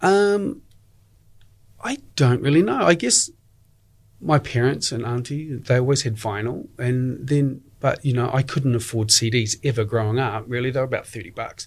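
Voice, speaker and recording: A man with a New Zealand accent speaks with lively intonation and a somewhat breathy sound. The recording is very clean, with a silent background. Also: medium pitch for a man, moderate pace. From New Zealand, Dunedin. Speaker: community radio DJ. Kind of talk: interview.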